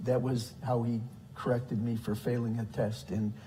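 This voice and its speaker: A man speaks at a medium pitch with an American accent. The room echo is audible. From US Midwest, south side of Chicago. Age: 60s. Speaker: deacon. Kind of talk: testimony. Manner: halting, many fillers.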